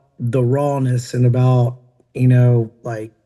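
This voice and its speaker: Somewhat breathy and dark, mellow in tone, a man speaks in a Southern US accent. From Tennessee. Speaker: country rock singer and entrepreneur. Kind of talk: podcast interview. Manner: casual, many fillers.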